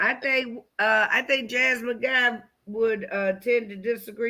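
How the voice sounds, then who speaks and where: Bright and sharp in tone, the voice shows ordinary pitch variation on a very clean recording with a silent background. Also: woman. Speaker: comedian. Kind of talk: casual chat.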